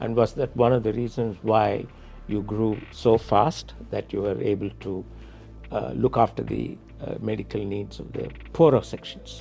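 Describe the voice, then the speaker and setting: A man talks at a moderate pace. Behind him, music plays in the background. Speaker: podcast interviewer. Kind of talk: interview questions.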